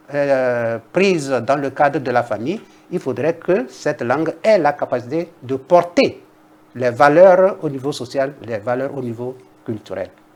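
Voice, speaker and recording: In a Togolese accent, a man speaks fairly slowly at a fairly high pitch with ordinary pitch variation over noticeable background noise. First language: Kabye (speaking French). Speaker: linguist. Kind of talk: interview. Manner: explanatory, measured.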